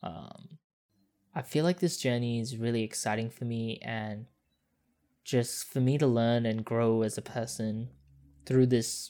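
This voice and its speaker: The speaker uses an Australian accent at a fairly slow pace. The recording is very clean, with a silent background. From Perth, Australia (early years Singapore). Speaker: podcast host. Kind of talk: podcast intro monologue; casual interview chat.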